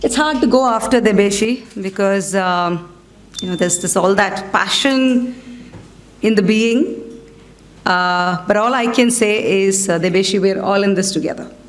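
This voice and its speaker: A woman at medium pitch with an Indian accent, a moderate pace, ordinary pitch variation, and audible room echo. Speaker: coaching federation board representative. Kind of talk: keynote speech. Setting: stage with audience. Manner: conversational.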